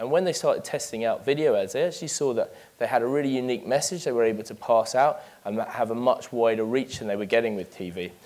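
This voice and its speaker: A man with a London accent at a very fast pace. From London, England. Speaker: business manager giving a talk. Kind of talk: conference presentation. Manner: hesitant, many fillers.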